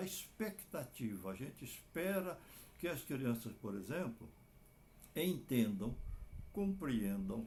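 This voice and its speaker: A man speaks at a fairly slow pace in a somewhat breathy voice. His pitch swings very widely. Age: 80s+. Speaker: clinical psychologist. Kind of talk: advice talk to families.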